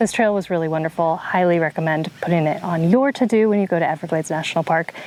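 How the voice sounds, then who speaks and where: At a very fast pace, a woman with a fairly low pitch speaks at very even loudness amid noticeable background noise. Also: ordinary pitch variation. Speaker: travel vlogger. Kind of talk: casual travel vlog narration. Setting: outdoors.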